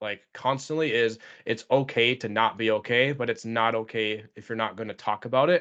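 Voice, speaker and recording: A normal speaking voice from a man, medium in pitch, comes at a moderate pace with fairly even intonation over a quiet background. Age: 30s. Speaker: podcast host and elementary school teacher. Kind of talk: casual interview chat.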